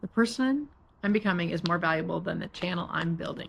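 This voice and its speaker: Talking at a fairly quick pace, a woman with vocal fry holds a medium pitch and ordinary pitch variation. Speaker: lifestyle vlogger. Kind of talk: vlog monologue. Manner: halting, with fillers and restarts; sometimes mumbles.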